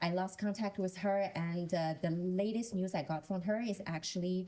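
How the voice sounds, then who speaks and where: Somewhat breathy and dark, mellow in tone, a woman's medium-pitched voice moves at a moderate pace with fairly even intonation. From China. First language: Chinese. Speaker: panelist. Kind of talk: panel discussion. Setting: stage with audience.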